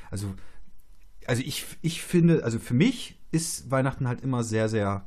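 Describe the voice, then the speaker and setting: This man's voice is somewhat breathy. His pitch varies an ordinary amount. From Germany, Polish family household. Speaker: podcast host and theologian. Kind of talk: casual interview chat.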